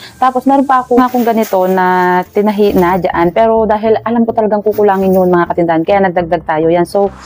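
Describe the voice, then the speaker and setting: A woman talks at a very fast pace with hardly any pauses. Her loudness stays very even. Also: medium pitch for a woman, ordinary pitch variation. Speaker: online seller, vlogger. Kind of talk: unboxing vlog. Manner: soft-spoken.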